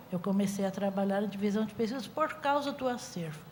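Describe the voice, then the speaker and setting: With audible room echo around her, a woman talks with lively intonation. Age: 60s. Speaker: music researcher. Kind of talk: panel talk.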